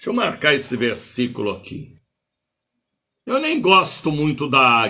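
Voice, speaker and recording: With an animated tone and a bright, sharp sound, a man at a fairly high pitch makes very wide pitch swings and leaves long, frequent pauses. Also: fairly slow pace. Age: 70s. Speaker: bishop and preacher. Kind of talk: sermon.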